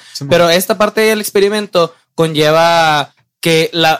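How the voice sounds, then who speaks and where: A man talks at a fairly slow pace and fairly high pitch, with ordinary pitch variation. The recording is very clean, with a silent background. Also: dry, close sound with no echo. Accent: Mexican. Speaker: podcast co-host. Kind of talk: scripted outro; casual chat.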